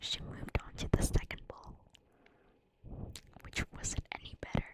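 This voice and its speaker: The speech is whispered and fairly slow. Noticeable noise sits in the background. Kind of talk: bedtime story whispered ASMR reading. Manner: whispered, soft.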